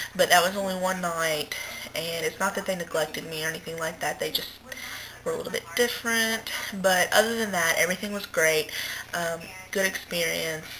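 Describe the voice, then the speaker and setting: Noticeable background noise sits behind a woman with medium pitch. She speaks at a fairly quick pace with fairly even intonation. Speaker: vlogger recovering from weight loss surgery. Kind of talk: casual video diary.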